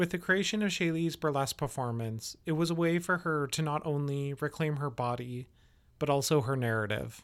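Speaking fairly quickly in a normal speaking voice, a man has a fairly high pitch with ordinary variation. The recording is very clean, with a silent background. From Canada, Yellowknife. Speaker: podcast host. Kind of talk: scripted narration.

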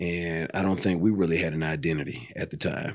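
An American-accented man speaks in a very deep, low voice with ordinary pitch variation, and the recording is very clean with a silent background. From Los Angeles, Pasadena. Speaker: barber and entrepreneur. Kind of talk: interview.

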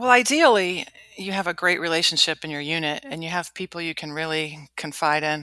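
Talking at a fairly quick pace, a woman with a Midwestern American accent has a fairly low pitch, a bright, sharp tone, ordinary pitch variation and big swings in loudness. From US Midwest, Cleveland, Ohio. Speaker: Marine Corps officer. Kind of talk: interview.

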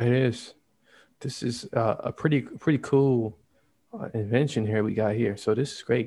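In a very clean recording with a silent background, a soft-spoken man with a dark, mellow tone talks at a medium pitch and moderate pace, using fairly even intonation. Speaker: co-host. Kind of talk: casual chat. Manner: soft-spoken away from the mic.

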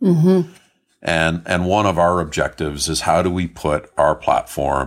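A man with a Canadian accent, very deep and low in pitch with vocal fry, fairly slow and fairly even in intonation, on a very clean recording with a silent background. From Canada. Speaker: tech company CEO. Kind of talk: interview.

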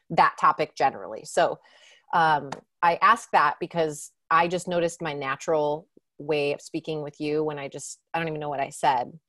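Very deep, low-pitched female voice with a bright, sharp tone, fairly even intonation and big swings in loudness, at a moderate pace over a quiet background. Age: 40s. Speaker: podcast host. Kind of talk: casual chat. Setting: video call.

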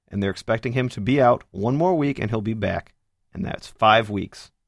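Talking at a fairly quick pace, a man uses lively intonation in an unremarkable speaking voice, captured on a very clean recording with a silent background. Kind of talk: casual sports show chat.

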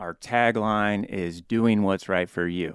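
In a very clean, dry, close recording with no echo and a silent background, a man with a Midwestern US accent speaks fairly slowly in a fairly low pitch. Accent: US Midwest. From Topeka, Kansas. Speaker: mortgage loan officer. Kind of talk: casual interview. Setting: studio.

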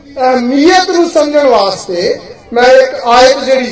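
An extremely high-pitched man's voice with ordinary pitch variation, audible room echo and noticeable background noise. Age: 60s. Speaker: pastor. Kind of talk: sermon.

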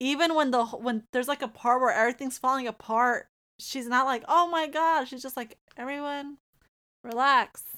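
On a very clean recording with a silent background, a woman with a high pitch uses a raised, projected voice and a bright, sharp tone, talking at a moderate pace with fairly even intonation and big swings in loudness. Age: 20s. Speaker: podcast guest reviewing movies. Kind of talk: casual chat.

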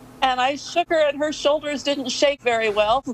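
The voice has fairly even intonation and a dry, close sound with no echo, with noticeable background noise behind it. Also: woman. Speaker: caller. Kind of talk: casual chat. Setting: video call.

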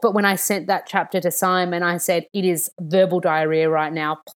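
In an Australian accent, a woman speaks with a fairly low pitch and fairly even intonation. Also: very clean recording, silent background. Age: 30s. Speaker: nutritionist and author. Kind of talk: casual chat.

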